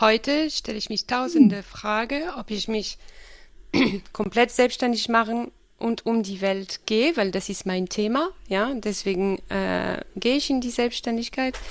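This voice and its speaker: With ordinary pitch variation, a woman speaks at a fairly high pitch and a fairly slow pace. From France. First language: French (speaking German). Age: 30s. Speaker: business professional, former au pair. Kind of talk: casual interview. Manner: hesitant, many fillers.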